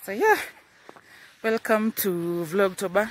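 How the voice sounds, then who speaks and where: Very slow speech with a Kenyan accent, a dry sound with no echo, and light background noise. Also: woman. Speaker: high school teacher and vlogger; high school teacher, vlogger. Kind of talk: vlog. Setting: outdoors, walking to school. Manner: casual, chatty. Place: open country. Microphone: phone near.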